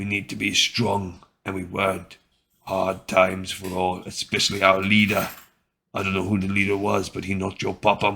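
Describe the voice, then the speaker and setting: A man doing a raspy, put-on character voice speaks at a very deep, low pitch and a moderate pace. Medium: read story.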